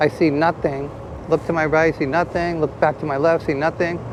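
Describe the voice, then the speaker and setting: Flat, monotone speech at a fairly quick pace with noticeable background noise. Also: man. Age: 60s. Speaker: motorcycle vlogger. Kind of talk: casual ride-along review. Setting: riding a motorcycle outdoors. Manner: halting, many fillers and restarts.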